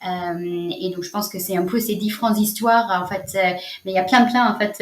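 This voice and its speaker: The speaker has a strong non-native accent and ordinary pitch variation. Noticeable background noise runs behind the voice. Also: woman. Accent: strong foreign accent in French. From United States. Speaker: social entrepreneur, nonprofit founder. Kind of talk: interview answer.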